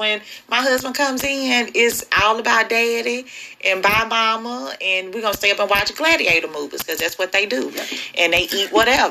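An unremarkable speaking voice from a woman, fairly high in pitch with lively intonation. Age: 40s. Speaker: podcast host. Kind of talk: casual chat.

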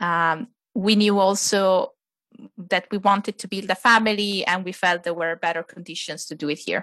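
In an Italian accent, a woman speaks at a medium pitch and moderate pace, her tone bright and sharp. Her intonation stays fairly even while her loudness swings widely, on a very clean recording with a silent background. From Italy. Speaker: adoptive mother and blogger. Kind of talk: casual interview chat.

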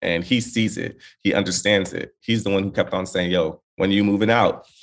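A man with an American accent speaks in an ordinary speaking voice, fairly low in pitch and at a moderate pace. The recording is very clean, with a silent background. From Los Angeles area, California. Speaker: entertainment correspondent and TV host. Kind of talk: casual chat.

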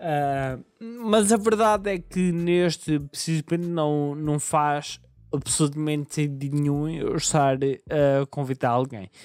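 The recording is very clean with a silent background. A man with a fairly high pitch talks at a very slow pace. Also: ordinary pitch variation. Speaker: podcast host. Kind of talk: solo podcast monologue. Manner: halting, many repetitions and fillers.

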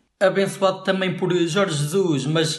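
The man's voice is somewhat breathy. He speaks at a moderate pace. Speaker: podcast co-host. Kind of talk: comedic scripted banter.

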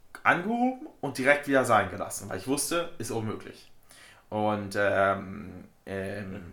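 Heard with audible room echo, a man at medium pitch speaks at a moderate pace with lively intonation, big swings in loudness, and long, frequent pauses. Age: 20s. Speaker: powerlifter. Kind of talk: casual chat.

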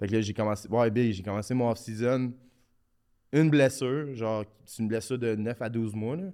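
In a Quebec accent, a man with a dark, mellow tone and medium pitch talks at a fairly quick pace with ordinary pitch variation, captured in a very clean recording with a silent background. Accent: Québécois French. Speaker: professional hockey player. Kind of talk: casual podcast interview. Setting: studio.

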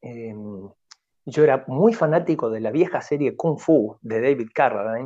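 A man at a medium pitch with a dark, mellow tone, fairly slow, with lively intonation and big swings in loudness. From Argentina. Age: 40s. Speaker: Buddhist monk and Zen teacher. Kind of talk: radio interview.

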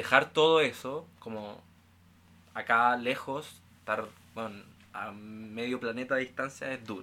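An ordinary speaking voice moves at a fairly slow pace, with fairly even intonation but big swings in loudness. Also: man, medium pitch for a man. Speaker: university student. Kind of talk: casual chat.

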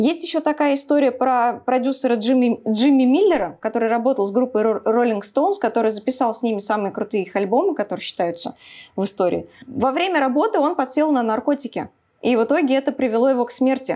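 A woman with a high pitch and a dark, mellow tone talks at a very fast pace with lively intonation. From Samara, Russia. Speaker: YouTube blogger and rock fan. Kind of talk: casual chat.

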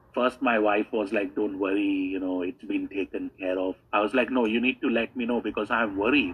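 Using an ordinary speaking voice, a man talks at a moderate pace and fairly low pitch with fairly even intonation. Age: 30s. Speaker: online business coach. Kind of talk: testimony.

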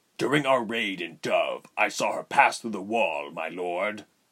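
An unforced reading voice throughout

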